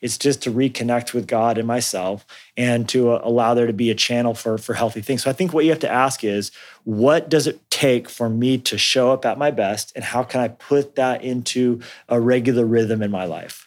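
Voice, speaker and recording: A man with an ordinary speaking voice and an American accent talks at a moderate pace, medium in pitch with fairly even intonation, on a very clean recording with a silent background. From US Southwest (Colorado, New Mexico). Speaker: pastor and author. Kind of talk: interview.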